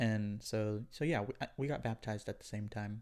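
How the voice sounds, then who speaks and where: A man speaks with an Oklahoma accent at a fairly low pitch. His pace is moderate and his pitch variation ordinary. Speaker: podcast guest. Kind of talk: casual chat.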